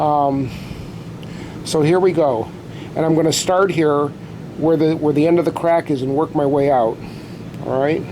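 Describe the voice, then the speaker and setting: Against noticeable background noise, a man with a fairly high voice speaks at a moderate pace with fairly even intonation and long, frequent pauses. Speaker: drum repair hobbyist. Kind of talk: tutorial. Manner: loud.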